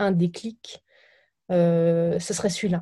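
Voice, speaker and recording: Very slow speech with fairly even intonation comes through against a quiet background. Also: woman. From France, Burgundy countryside. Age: 20s. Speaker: startup founder. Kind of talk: interview. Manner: halting, repeats words.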